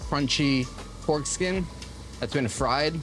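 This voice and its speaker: With music in the background and audible room echo, a man speaks with ordinary pitch variation. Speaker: food vlogger. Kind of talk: casual vlog commentary. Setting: outdoors on a city street. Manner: casual, filler-heavy with frequent 'like'; stutters when filming.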